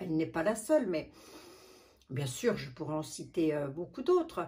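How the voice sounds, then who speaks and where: Here a woman talks. There is a somewhat breathy quality to her voice. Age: 60s. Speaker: beauty vlogger. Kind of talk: casual vlog talk. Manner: halting.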